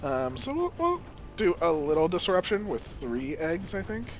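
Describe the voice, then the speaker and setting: Music can be heard in the background. A man is talking at a moderate pace. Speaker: gaming YouTuber. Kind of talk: casual gameplay commentary.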